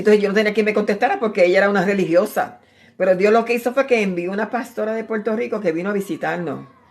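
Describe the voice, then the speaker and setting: Very fast speech from a woman at medium pitch, with ordinary pitch variation. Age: 60s. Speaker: preacher. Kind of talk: sermon. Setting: at home, live stream. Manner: animated.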